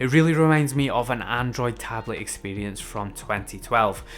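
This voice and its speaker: Speaking with a Scottish accent, a man keeps a moderate pace. His pitch is medium, with ordinary variation. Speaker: tech reviewer. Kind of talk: product review.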